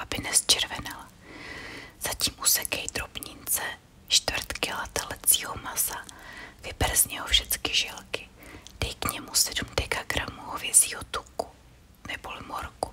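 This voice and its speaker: A woman whispering at a fairly slow pace over noticeable background noise. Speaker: ASMR creator reading old books. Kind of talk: ASMR sleep reading of old recipes. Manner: whispered, soft.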